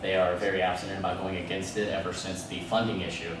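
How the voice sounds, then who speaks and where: Amid audible room echo and noticeable background noise, a man with a very deep, low pitch speaks at a very fast pace in a monotone, flat intonation. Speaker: student candidate for club president. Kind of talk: election debate Q&A. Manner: loud.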